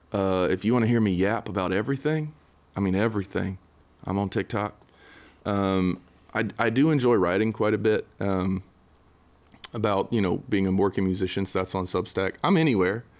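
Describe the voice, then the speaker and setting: On a very clean recording with a silent background, a man with a Southern US accent speaks at a fairly low pitch and moderate pace, with ordinary pitch variation, very even loudness and long, frequent pauses. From western North Carolina. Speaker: singer-songwriter. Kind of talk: casual interview. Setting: studio. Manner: hesitant, many fillers.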